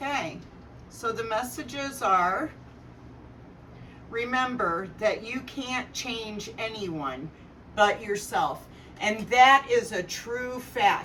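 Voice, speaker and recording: A woman's fairly high voice, very slow and lively in intonation, with long, frequent pauses. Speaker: tarot reader. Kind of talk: tarot reading with personal sharing. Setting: living room, camera far away. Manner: loud. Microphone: camera far away.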